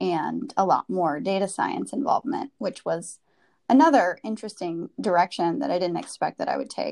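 Against a quiet background, a woman with an American accent speaks at a medium pitch, her voice showing vocal fry and very wide pitch swings. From US Midwest, Wisconsin. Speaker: advertising professional. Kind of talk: personal story interview.

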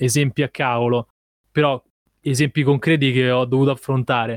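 Dry and close with no echo, a man's medium-pitched voice moves at a moderate pace in a plain, everyday voice. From Rome, Italy. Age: 20s. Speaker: videomaker. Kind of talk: casual interview.

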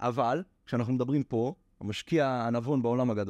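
A man talks at a moderate pace. The sound is dry and close with no echo, and the background is quiet. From Israel. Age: 20s. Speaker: NFT trader and lecturer. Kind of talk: casual interview.

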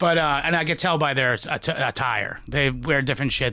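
This man's tone is bright and sharp, with vocal fry. He talks at a fairly quick pace. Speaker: podcast host. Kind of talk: casual banter about history. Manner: jokey, casual.

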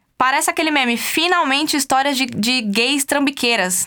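A woman's raised, projected voice, high in pitch, with ordinary pitch variation at a moderate pace. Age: 20s. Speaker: podcast host. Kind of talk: casual commentary monologue. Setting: studio.

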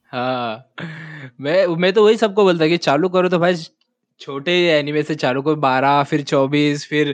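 Ordinary pitch variation comes through against a quiet background. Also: man, fairly high pitch for a man. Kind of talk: casual chat. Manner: animated.

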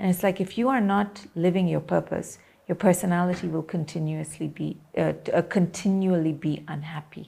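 On a very clean recording with a silent background, a woman speaks at a moderate pace and fairly low pitch, somewhat breathy, with a dark, mellow tone and fairly even intonation. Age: 40s. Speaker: media personality. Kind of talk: interview.

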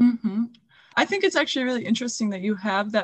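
With a slightly breathy quality, a woman talks, her pitch moving in an ordinary way. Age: 20s. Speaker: podcast host and student. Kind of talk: interview.

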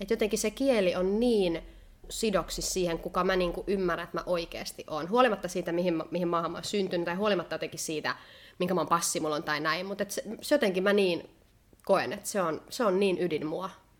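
Speaking fairly quickly, a woman uses a normal speaking voice at a medium pitch with ordinary pitch variation. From Finland. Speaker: podcast co-host. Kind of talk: casual chat. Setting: indoors by candlelight.

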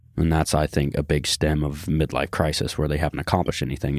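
A man speaks at a fairly quick pace with vocal fry. His pitch is very deep and low. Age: 20s. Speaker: fitness company employee and co-host. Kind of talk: casual chat.

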